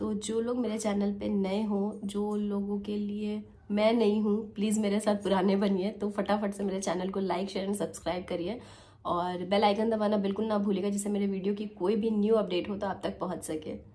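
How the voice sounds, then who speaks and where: At a moderate pace and medium pitch, a woman speaks in a monotone, flat intonation with audible room echo. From Lucknow, Uttar Pradesh, India. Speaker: vlogger. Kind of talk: vlog narration.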